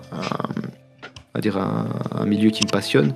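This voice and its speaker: This is a man speaking with a fairly low pitch. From Paris, France. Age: 20s. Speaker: sports graphic designer. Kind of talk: interview. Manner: halting, many fillers.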